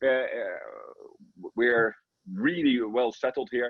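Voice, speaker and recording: A man with a Dutch accent. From Netherlands. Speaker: football coach. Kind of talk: interview. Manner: animated; halting.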